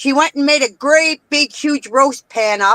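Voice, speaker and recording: Bright and sharp in tone, a woman projects a raised voice at a high pitch with a Canadian accent. She keeps a moderate pace, and the sound is dry and close with no echo. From Canada. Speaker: participant in a live-stream chat. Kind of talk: casual chat. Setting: live stream.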